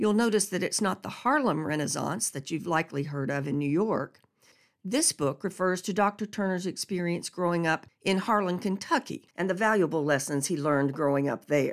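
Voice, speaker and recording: A woman with a fairly low pitch speaks in an ordinary speaking voice with lively intonation. Her pace is moderate, and the recording is very clean with a silent background. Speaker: radio host. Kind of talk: radio program intro and outro. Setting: radio studio.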